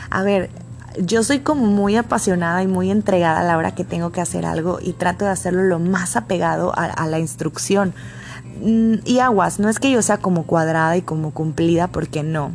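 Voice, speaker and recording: Against noticeable background noise, a woman with a Mexican accent speaks at a moderate pace and a fairly low pitch, with lively intonation. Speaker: podcaster. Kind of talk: personal monologue.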